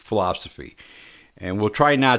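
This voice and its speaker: A man speaks at a moderate pace with a medium pitch. The recording is very clean, with a silent background. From New York City. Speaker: community radio host. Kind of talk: radio show monologue. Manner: halting, many ums and ahs.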